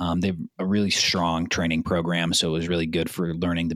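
This man has a Californian accent. He talks at a fairly quick pace. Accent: Californian American. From Southern California, South Bay. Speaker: commercial real estate platform business developer. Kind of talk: casual interview.

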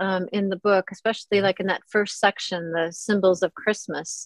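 With an American accent, a woman talks at a moderate pace in a dry, close sound with no echo. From US Midwest, Minnesota. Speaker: author. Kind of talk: casual chat.

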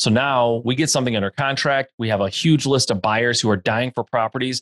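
A man's medium-pitched voice, fairly quick and fairly even in intonation, in a dry, close sound with no echo. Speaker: real estate investor. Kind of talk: interview. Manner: fast.

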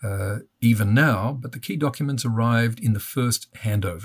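Over a very clean recording with a silent background, a man with an Australian accent talks at a medium pitch, somewhat breathy, with ordinary pitch variation. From Australia (Melbourne). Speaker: father of terror victim, advocate. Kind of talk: interview.

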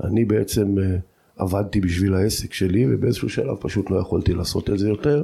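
A man's dark, mellow, somewhat breathy voice at a fairly quick pace, with ordinary pitch variation and very even loudness. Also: fairly low pitch for a man, very clean recording, silent background. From Israel, Jordan Valley kibbutz. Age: 50s. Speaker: cultural researcher and lecturer. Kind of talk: personal life story interview.

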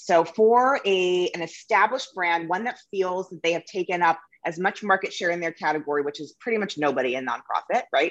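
At a fairly quick pace, a woman speaks in an unremarkable speaking voice, fairly low in pitch, with ordinary pitch variation. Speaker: marketing agency founder. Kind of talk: casual interview. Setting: audio-only recording. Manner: casual, profane.

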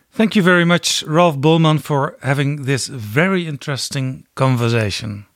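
A man with a fairly high pitch, lively intonation and a moderate pace. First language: Dutch. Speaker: podcast host. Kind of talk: interview.

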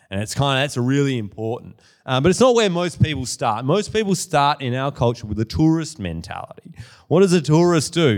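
A man with an Australian accent speaks at a medium pitch with very wide pitch swings, in a very clean recording over a silent background. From Western Australia, Perth. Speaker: author and small business owner, guest speaker. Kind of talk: sermon. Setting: church with audience. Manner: casual with many fillers.

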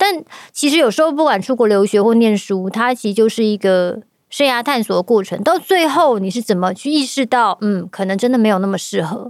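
A woman with a normal speaking voice, fairly high in pitch, with lively intonation and a fairly quick pace, on a very clean recording with a silent background. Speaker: podcast host and voice-acting studio organizer. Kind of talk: casual chat.

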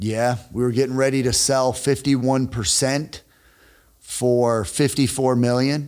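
A man with a normal speaking voice and medium pitch talks with fairly even intonation. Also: fairly slow pace, very even loudness. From northern Illinois (Rockford, near Chicago). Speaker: sales expert and entrepreneur. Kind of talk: casual interview chat.

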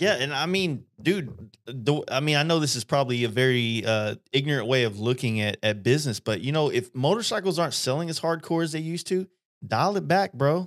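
A man with an American accent, fairly high in pitch, fairly quick and lively in intonation, with hardly any pauses, on a very clean recording with a silent background. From Texas. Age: 30s. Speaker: airbrush artist and podcast host. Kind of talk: casual chat. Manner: casual, laid-back, lots of filler words.

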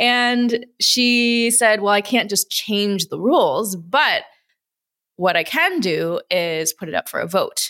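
A woman's bright, sharp voice with an American accent, fairly high in pitch, very slow and lively in intonation, with a dry, close sound and no echo. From US Midwest, Wisconsin and Chicago. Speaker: entrepreneur, investor and former gymnast. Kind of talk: interview conversation.

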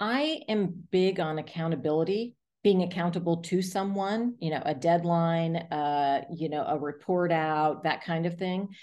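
At a fairly slow pace, a woman with an American accent speaks in a dark, mellow tone at a fairly low pitch. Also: ordinary pitch variation, hardly any pauses. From US South, South Florida. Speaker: arts nonprofit executive director. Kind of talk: interview.

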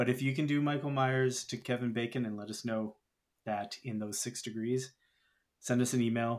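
A man talks at a moderate pace in a normal speaking voice of medium pitch. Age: 30s. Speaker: podcast host. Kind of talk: casual chat.

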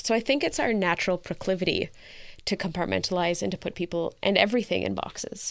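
This woman has a normal speaking voice with a Canadian accent. She talks at a medium pitch and a fairly quick pace. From rural Canada. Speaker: founder of a mixed-race community resource centre. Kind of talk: interview.

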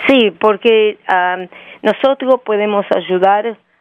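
A woman speaks with fairly even intonation. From Argentina. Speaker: company CEO. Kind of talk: interview. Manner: halting.

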